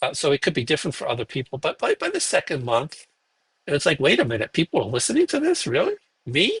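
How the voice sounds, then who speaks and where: The pace is very fast. A man speaks in a Brooklyn accent. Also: dry, close sound with no echo. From Brooklyn, New York. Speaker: podcast host, guest expert. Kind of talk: interview conversation. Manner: halting, many fillers.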